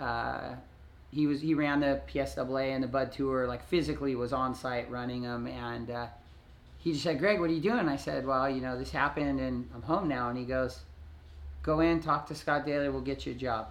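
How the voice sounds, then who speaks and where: A man at a moderate pace, medium in pitch with ordinary pitch variation, in an ordinary speaking voice. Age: 40s. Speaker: former pro surfer and surf video star. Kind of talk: casual chat interview. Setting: at home.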